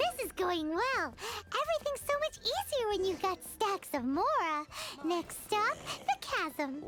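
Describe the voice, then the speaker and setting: Extremely high in pitch with very wide swings, this put-on character voice moves fairly slowly. Clear background noise can be heard. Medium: video game. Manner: lively, brisk.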